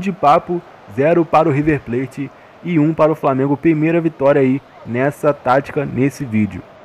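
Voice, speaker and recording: A man with a fairly high pitch and ordinary pitch variation talks at a moderate pace against noticeable background noise. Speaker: gaming youtuber. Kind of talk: gameplay commentary. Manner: animated.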